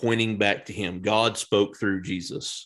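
All is quiet in the background. The talking proceeds at a fairly slow pace. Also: man. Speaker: podcast co-host. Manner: soft-spoken, calm.

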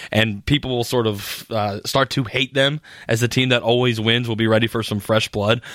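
In a very clean recording with a silent background, a man with a plain, everyday voice speaks at medium pitch and a moderate pace, his intonation fairly even. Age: 20s. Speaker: sports radio host. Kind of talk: sports talk monologue.

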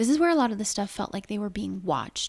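The intonation moves in a lively way. The text is read aloud in a natural voice.

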